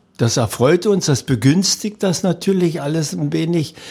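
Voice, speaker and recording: On a very clean recording with a silent background, a somewhat breathy man talks at a fairly slow pace in a dark, mellow tone. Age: 70s. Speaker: retired athlete and sports event organizer. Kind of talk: interview.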